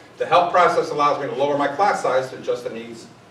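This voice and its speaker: Noticeable background noise and audible room echo surround this recording. A man speaks fairly quickly with a fairly high pitch and ordinary variation. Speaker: school administrator presenting to teachers. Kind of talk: staff meeting presentation. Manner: fast.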